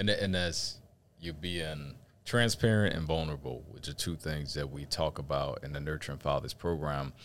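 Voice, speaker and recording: At a moderate pace, a man talks in a very deep, low voice with vocal fry and ordinary pitch variation. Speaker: fatherhood program manager and co-host. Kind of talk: casual conversational chat.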